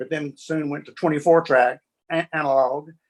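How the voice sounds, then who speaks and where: A man at a moderate pace with a fairly high pitch and an Alabama accent, his intonation fairly even, the sound dry and close with no echo. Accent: Southern US (Alabama). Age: 70s. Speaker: session bassist. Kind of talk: interview.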